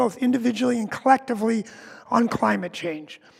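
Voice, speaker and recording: Against noticeable background noise, a man with an extremely high pitch talks at a fairly quick pace with ordinary pitch variation. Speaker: worship associate. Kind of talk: church announcements.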